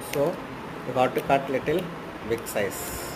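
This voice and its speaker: Fairly slow speech from a man, over noticeable background noise. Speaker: craft teacher. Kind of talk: tutorial. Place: home room. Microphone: phone near.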